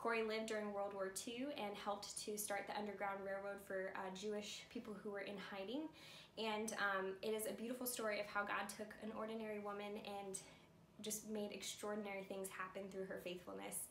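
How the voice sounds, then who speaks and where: A woman at a fairly quick pace, monotone and flat, with audible room echo and light background noise. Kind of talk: casual announcement. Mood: warm, cheerful. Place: home room. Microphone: camera far.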